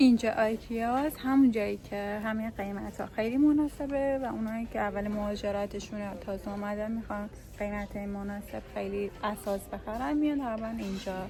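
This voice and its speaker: A woman's fairly high voice, a plain, everyday voice, with ordinary pitch variation, a moderate pace and hardly any pauses. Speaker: vlogger. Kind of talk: casual vlog chat.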